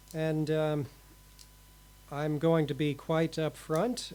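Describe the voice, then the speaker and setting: Here a man speaks with an American accent. His pitch is fairly high. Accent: American, remarked on. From US Midwest, St. Louis. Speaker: radio host, librarian. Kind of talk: casual radio chat.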